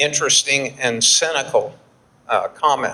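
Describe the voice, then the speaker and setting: With a Texan accent, a man talks at a fairly high pitch and a moderate pace with fairly even intonation. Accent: Texan American English. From Texas, Houston. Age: 70s. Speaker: flour milling expert, keynote speaker. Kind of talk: conference keynote presentation. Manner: halting, with repetitions and fillers.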